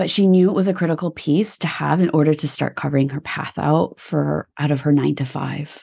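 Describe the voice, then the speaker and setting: A woman speaks at a fairly quick pace with hardly any pauses, her pitch very deep and low with vocal fry. Her tone is dark and mellow over a quiet background. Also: ordinary pitch variation. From Canada. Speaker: business coach. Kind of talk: casual interview chat. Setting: video call.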